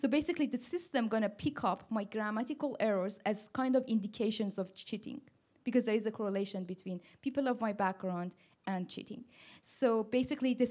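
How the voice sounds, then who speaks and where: At a fairly quick pace, a woman with a non-native accent talks at a fairly high pitch with ordinary pitch variation. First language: not English. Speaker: machine learning director on a panel. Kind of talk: panel discussion. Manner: halting, with many restarts.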